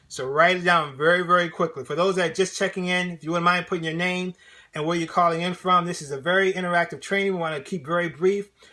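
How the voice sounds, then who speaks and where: A man speaks very fast in a high voice. His tone is energetic, bright, and sharp. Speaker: motivational speaker and sales trainer. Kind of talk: live-streamed interactive training. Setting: live stream. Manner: energetic, conversational.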